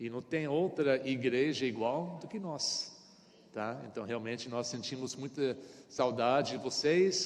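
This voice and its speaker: Audible room echo accompanies fairly slow speech in an American accent with ordinary pitch variation. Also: man, medium pitch for a man. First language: English (speaking Portuguese). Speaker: pastor. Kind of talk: sermon. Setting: church. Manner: halting.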